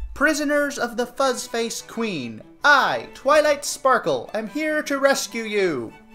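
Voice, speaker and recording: A booming, fairly high-pitched put-on character voice at a fairly slow pace, with faint music in the background. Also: hardly any pauses. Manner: commanding, proclaiming.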